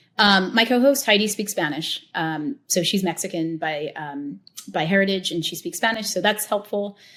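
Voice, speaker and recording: The speaker has a normal speaking voice with an American accent and lively intonation. The pace is moderate, on a very clean recording with a silent background. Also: woman, medium pitch for a woman. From US, Italian American family. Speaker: tequila educator and show host. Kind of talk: interview conversation. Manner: casual, many fillers.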